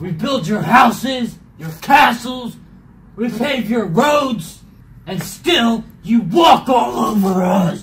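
A put-on character voice at a very slow pace, with audible echo. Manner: angry, indignant, then whiny.

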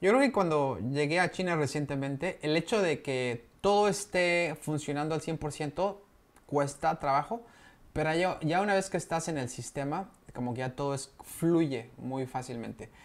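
A man with a Mexican accent, at a fairly slow pace. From Mexico. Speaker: vlogger living abroad. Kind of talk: casual vlog explainer. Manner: conversational, with frequent fillers. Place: home room.

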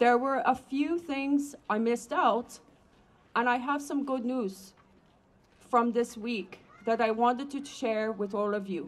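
A woman's high-pitched voice broken by long, frequent pauses. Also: ordinary pitch variation, fairly slow pace. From Alberta, Canada. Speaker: rally speaker. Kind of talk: public speech. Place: street. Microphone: handheld.

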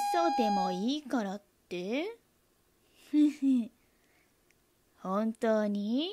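Very slow and broken by long, frequent pauses, a woman's fairly high voice moves with lively intonation. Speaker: amateur reading-class student. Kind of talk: dramatic monologue reading. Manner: conversational, emotional, slightly irritated.

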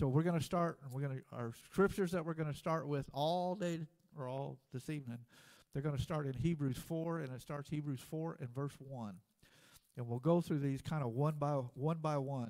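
A man speaks at a moderate pace against a quiet background. His pitch varies in an ordinary way. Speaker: preacher. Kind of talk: sermon. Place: church.

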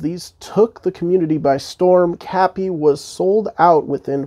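A man speaks with a high voice. His pitch rises and falls in an ordinary way. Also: quiet background. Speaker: toy reviewer. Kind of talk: casual review intro to camera. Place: home room. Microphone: lapel.

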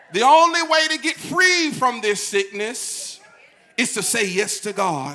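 An extremely high-pitched man's raised, projected voice, animated in tone, with very wide pitch swings and a fairly slow pace. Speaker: pastor. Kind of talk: sermon. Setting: church. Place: church. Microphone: handheld.

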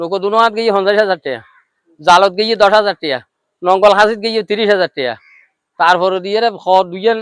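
There is ordinary pitch variation in this man's high-pitched voice. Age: 70s. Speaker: fish egg collector. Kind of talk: interview.

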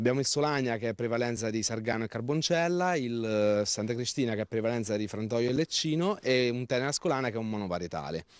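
Over a quiet background, a man speaks very fast with lively intonation and hardly any pauses. The sound is dry, without echo. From Marche, Italy. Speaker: farmer and agritourism owner. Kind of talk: TV interview.

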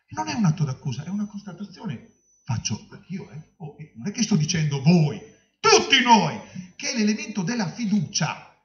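A man talks in an animated tone with very wide pitch swings. Audible room echo surrounds his voice. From Romagna, Italy; Italy. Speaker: health authority director; speaker. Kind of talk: panel discussion. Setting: conference hall with audience. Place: hall. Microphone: handheld.

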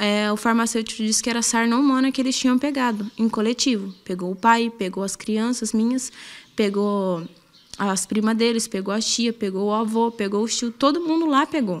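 The speaker is a woman with a fairly high pitch. She keeps a moderate pace and ordinary pitch variation. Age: 20s. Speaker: assault victim. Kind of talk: testimony. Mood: fearful, distressed. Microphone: handheld.

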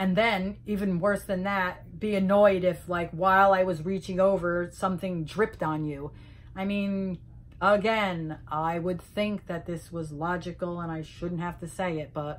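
The pace is fairly slow. A woman talks with fairly even intonation. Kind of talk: casual vlog rant. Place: home room. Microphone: phone near.

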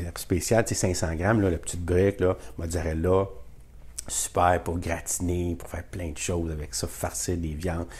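A man talks in a Quebec accent at a fairly slow pace. His tone is animated. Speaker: YouTuber sharing grocery deals. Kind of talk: casual vlog talk to camera.

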